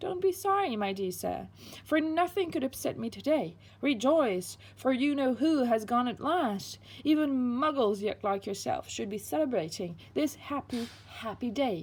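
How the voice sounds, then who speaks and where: Using a put-on character voice, a woman speaks in a squeaky, high pitch at a moderate pace. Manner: gleeful, jubilant.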